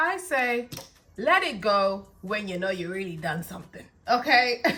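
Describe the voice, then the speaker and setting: Speech in a London accent comes at a fairly slow pace, with very wide pitch swings and big swings in loudness. Noticeable background noise runs underneath. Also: woman, fairly high pitch for a woman. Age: 20s. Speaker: hair stylist and hair brand owner. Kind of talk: tutorial. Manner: casual, chatty.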